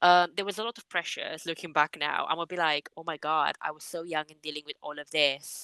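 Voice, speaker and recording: A woman's very deep, low voice with a Romanian accent and a bright, sharp tone, at a fairly quick pace with hardly any pauses and fairly even intonation, in a dry, close sound with no echo. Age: 20s. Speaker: public servant and writer. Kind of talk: interview.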